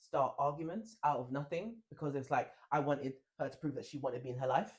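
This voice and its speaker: A man speaks at a fairly quick pace in a fairly high voice. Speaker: podcast co-host. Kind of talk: casual chat. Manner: loud.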